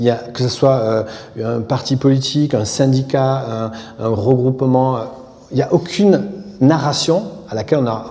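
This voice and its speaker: A man with a medium pitch and ordinary pitch variation talks at a moderate pace with long, frequent pauses, amid audible room echo and noticeable background noise. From southern France, Aveyron. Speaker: architect. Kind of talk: public interview on stage. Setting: theatre stage.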